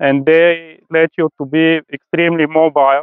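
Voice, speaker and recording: At a fairly slow pace, a man talks in a fairly high pitch. His intonation is monotone and flat. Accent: Bulgarian. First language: Bulgarian. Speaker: rooftop tent seller, traveler. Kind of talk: presentation to an audience. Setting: stage at an event with audience. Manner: halting, many fillers.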